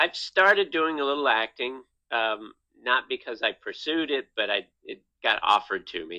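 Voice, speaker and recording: A man speaks with a normal speaking voice, pitched fairly high. His pace is moderate and his intonation lively. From Virginia, US. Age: 50s. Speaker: comedian. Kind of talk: casual interview. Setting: podcast.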